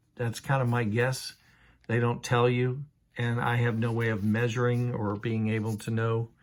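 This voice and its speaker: With monotone, flat intonation, a man speaks at a medium pitch and a moderate pace. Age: 60s. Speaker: Bible reviewer. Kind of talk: product review. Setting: at home in a trailer. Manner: casual, with frequent fillers.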